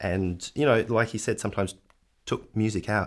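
This man's fairly low voice comes through a very clean recording with a silent background. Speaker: film director. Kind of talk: casual interview.

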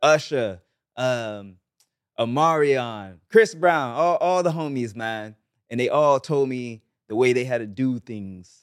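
A man with a Barbadian accent speaks with lively intonation. The recording is very clean, with a silent background. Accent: Bajan Caribbean English. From Barbados, St. Joseph. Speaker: pop reggae singer. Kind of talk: casual chat.

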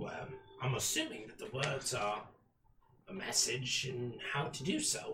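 A man puts on a character voice at a medium pitch, with audible echo. He speaks at a moderate pace with long, frequent pauses. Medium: actual play. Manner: warm, eager, gently teacherly.

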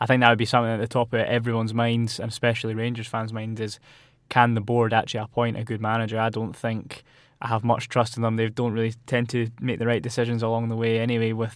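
With a Scottish accent, a man talks very fast at a medium pitch. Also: very clean recording, silent background. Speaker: student football pundit. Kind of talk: casual chat.

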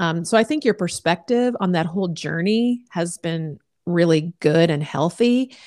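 A woman speaks with an American accent in a normal speaking voice. The recording is very clean with a silent background. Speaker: podcast host. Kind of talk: casual chat.

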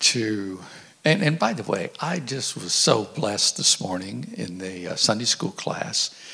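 Over noticeable background noise, a man talks at a fairly slow pace. His medium-pitched voice has lively intonation. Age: 70s. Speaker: church overseer, visiting preacher. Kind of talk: sermon. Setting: church.

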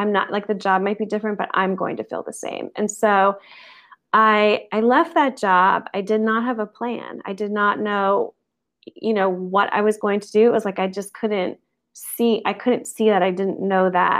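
A woman talks at a moderate pace in an unremarkable speaking voice. Her pitch is medium, and her intonation stays fairly even. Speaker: yoga and life coach. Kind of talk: casual interview.

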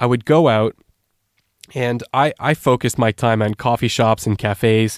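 A man with a Canadian accent and a plain, everyday voice speaks at medium pitch and moderate pace, in a dry, close sound with no echo. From Canada. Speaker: language learning specialist. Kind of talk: interview. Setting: remote call.

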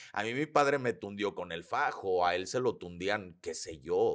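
A man speaks at a fairly slow pace. The recording is very clean, with a silent background. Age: 40s. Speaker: holistic psychotherapist and speaker. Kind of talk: casual interview conversation.

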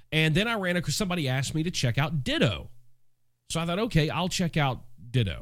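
Very fast and lively in intonation, a man talks at a fairly high pitch with vocal fry. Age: 40s. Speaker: podcast host and music business mentor. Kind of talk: solo podcast monologue. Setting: home studio. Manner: casual, conversational.

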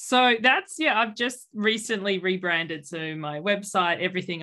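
A woman with an Australian accent speaks in a fairly low pitch with a bright, sharp tone, recorded very cleanly against a silent background. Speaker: weight-loss coach. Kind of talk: casual interview.

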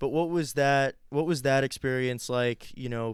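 In an American accent, an unremarkable speaking voice moves at a moderate pace with fairly even intonation on a very clean recording with a silent background. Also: man. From Ohio, Columbus area. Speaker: podcast host. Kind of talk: casual interview.

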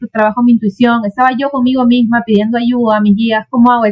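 Very fast speech from a woman with high pitch, dry and close with no echo. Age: 40s. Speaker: therapist. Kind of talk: casual chat.

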